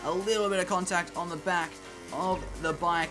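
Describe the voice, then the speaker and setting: Backed by music, a man with an Australian accent speaks at a high pitch with fairly even intonation. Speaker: gaming YouTuber. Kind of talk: gameplay commentary.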